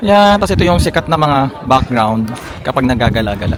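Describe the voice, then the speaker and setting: Over crowd noise in the background, a man talks in an animated tone with very wide pitch swings. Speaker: travel vlogger. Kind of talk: travel vlog.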